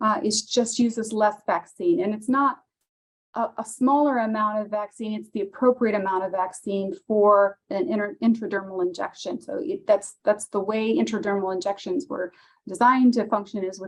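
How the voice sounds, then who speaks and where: With an unremarkable speaking voice, a woman talks at a moderate pace and fairly high pitch, her intonation lively. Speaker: county public health official. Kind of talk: webinar presentation. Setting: video call.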